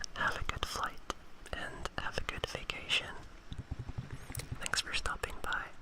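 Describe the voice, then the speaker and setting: The voice whispers at a fairly slow pace, with long, frequent pauses. Noticeable background noise can be heard. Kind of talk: ASMR livestream. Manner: whispered.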